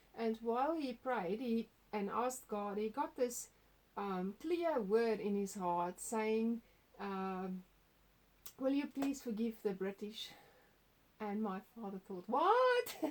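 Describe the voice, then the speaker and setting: Leaving long, frequent pauses, a woman speaks at a very slow pace with a fairly high pitch. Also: ordinary pitch variation. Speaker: testimony sharer. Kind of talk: testimony. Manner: halting.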